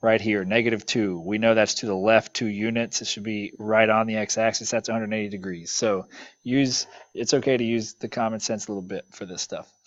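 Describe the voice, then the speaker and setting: At a fairly quick pace, a man with a medium pitch talks in an ordinary speaking voice. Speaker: math teacher. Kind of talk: lecture. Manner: casual with fillers.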